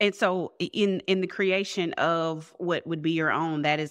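A woman with a fairly low pitch, ordinary pitch variation, and an unremarkable speaking voice. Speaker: podcast host. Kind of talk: interview.

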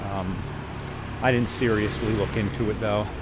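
With an American accent and a fairly low pitch, a man is heard over noticeable background noise and audible room echo. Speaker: travel vlogger. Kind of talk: casual walking vlog monologue. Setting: outdoors, walking in the city street. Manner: rambling, many fillers.

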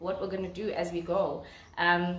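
A woman talks at a fairly quick pace. Her voice carries audible room echo. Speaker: vlogger. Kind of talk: casual vlog chat. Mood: excited, cheerful, laughing. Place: home room. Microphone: phone near.

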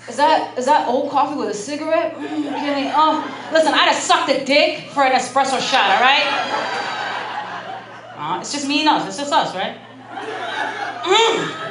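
A woman speaks in an animated tone at a high pitch and a moderate pace, with ordinary pitch variation. Her loudness swings widely, and background noise is noticeable. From Chicago, US Midwest. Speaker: stand-up comedian. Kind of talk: stand-up comedy. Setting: comedy club stage with audience. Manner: animated, profane, punchy delivery; sarcastic, confessional, mock-outraged tone. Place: stage. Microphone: handheld.

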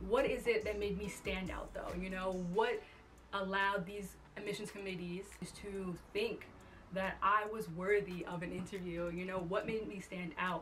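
Music plays in the background as a woman speaks. Her pace is moderate and her intonation monotone and flat. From Long Island, New York. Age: 20s. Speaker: incoming medical student and online fitness coach. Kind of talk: casual talk to camera. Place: home room.

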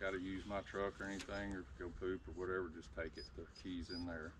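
A man's very deep, low voice moves at a fairly quick pace through noticeable background noise. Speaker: hunting channel host. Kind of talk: casual vlog chat. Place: forest. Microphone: phone near.

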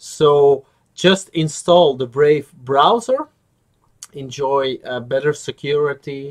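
Speaking at a very slow pace, a man with a fairly high pitch leaves long, frequent pauses. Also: ordinary pitch variation, quiet background. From Belgium. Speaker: YouTuber, crypto channel host. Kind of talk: tutorial. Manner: hesitant, many filler words. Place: home room.

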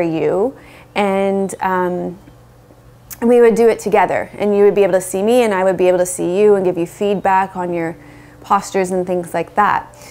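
A woman at a fairly quick pace with fairly even intonation. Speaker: yoga teacher. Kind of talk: casual vlog chat. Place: home room. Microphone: lapel.

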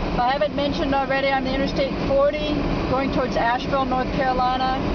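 Background noise is loud. The talking goes at a moderate pace. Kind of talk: casual running commentary. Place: car. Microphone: phone near.

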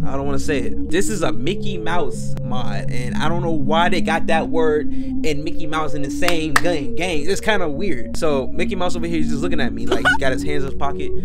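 A man talks at a fairly quick pace with hardly any pauses, with music in the background. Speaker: gaming YouTuber. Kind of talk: casual vlog chat. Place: home room. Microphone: headset.

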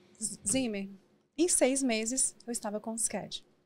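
Fairly high pitch and ordinary pitch variation from a woman. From Brazil, Minas Gerais (Valadares) and São Paulo; Minas Gerais, Brazil. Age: 40s. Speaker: businesswoman and mentor; podcast guest. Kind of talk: interview. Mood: reflective, personal storytelling. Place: studio. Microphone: studio mic.

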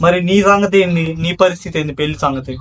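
A man speaks with a high pitch. Its variation is ordinary. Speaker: podcast host. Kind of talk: interviewer questions.

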